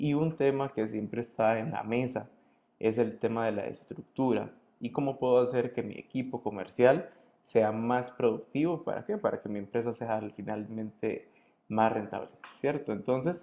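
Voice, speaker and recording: A man talks at a moderate pace with a medium pitch and ordinary pitch variation. His tone is dark and mellow. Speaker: consulting firm director, webinar host. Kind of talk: webinar presentation. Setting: online webinar.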